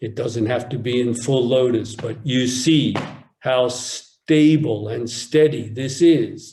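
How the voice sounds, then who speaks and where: Very slowly, a man speaks at a medium pitch in a dark, mellow, somewhat breathy tone with fairly even intonation, and audible room echo surrounds him. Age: 60s. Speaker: Zen teacher. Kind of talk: dharma talk. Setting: online retreat.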